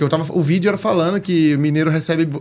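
His voice sits fairly high, and the man's pitch moves in a normal way. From Brazilian Northeast. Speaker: comedian. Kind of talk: casual chat. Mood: relaxed, storytelling. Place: studio. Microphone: studio mic.

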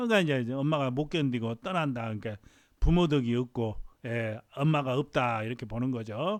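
Ordinary pitch variation marks the delivery, which runs at a fairly quick speed. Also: man, medium pitch for a man. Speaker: fortune teller. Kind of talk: lecture. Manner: halting.

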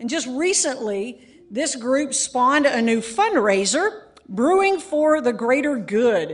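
A woman talks with a high pitch. She goes at a fairly slow pace. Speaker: event host introducing guest speaker. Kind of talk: formal introduction speech. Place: hall. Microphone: podium.

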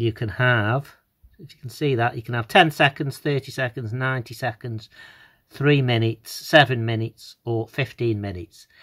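With fairly even intonation and a medium tempo, a male speaker talks against a quiet backdrop. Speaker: product reviewer. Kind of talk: tutorial. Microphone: phone near.

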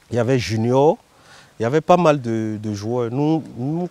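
A man with a dark, mellow tone speaks at a fairly slow pace, his pitch varying in an ordinary way, the sound dry with no echo. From Côte d'Ivoire, Abidjan. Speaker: former footballer. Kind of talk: documentary interview. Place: garden.

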